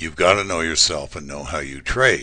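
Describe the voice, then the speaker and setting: This man's voice has a bright, sharp tone. Vocal fry runs through it. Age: 60s. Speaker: trading instructor. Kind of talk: lecture. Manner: casual, with many fillers.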